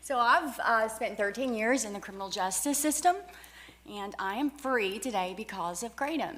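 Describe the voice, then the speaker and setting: Lively intonation from a woman at a fairly high pitch, moderately paced, with noticeable background noise behind. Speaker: public hearing witness. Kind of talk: testimony. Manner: halting.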